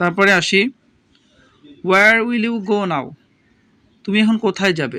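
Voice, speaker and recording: A man's raised, projected voice, high in pitch, with a bright, sharp tone and ordinary pitch variation. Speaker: English teacher. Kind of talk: tutorial.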